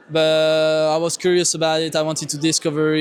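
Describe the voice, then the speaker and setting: A man talks at a fairly high pitch. Music plays in the background. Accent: French. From France. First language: French. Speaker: student. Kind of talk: street interview. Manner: hesitant, many fillers.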